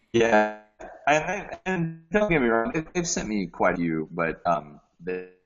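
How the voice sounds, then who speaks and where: Music plays in the background as a man talks at a fairly slow pace. His pitch swings very widely. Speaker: voice actor. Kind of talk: casual chat. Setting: video call. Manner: halting.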